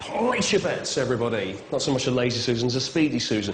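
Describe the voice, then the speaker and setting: A man with an English accent talks at a fairly quick pace. The recording has audible room echo and noticeable background noise. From England. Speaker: travel show presenter. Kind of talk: on-location interview. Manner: animated.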